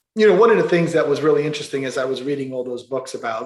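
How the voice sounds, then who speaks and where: A man with a New York accent talks with lively intonation. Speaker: construction company president. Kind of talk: interview.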